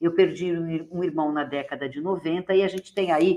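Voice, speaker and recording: A woman speaks at a moderate pace in a fairly low pitch, with an ordinary speaking voice. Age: 60s. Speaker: moderator, HIV/AIDS inclusion activist. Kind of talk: panel discussion moderation.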